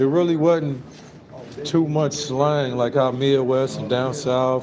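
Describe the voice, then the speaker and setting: Speaking very slowly with long, frequent pauses, a man with an American accent uses a fairly high pitch and monotone, flat intonation, with audible room echo and noticeable background noise. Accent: sounds country. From Dayton, Ohio. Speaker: Air Force veteran, livestreamer. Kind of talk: casual chat.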